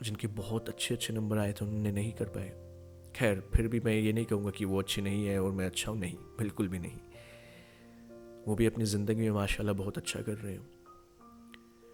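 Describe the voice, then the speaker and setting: A man speaks in a flat monotone at a fairly low pitch, with music playing in the background. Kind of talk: motivational podcast talk.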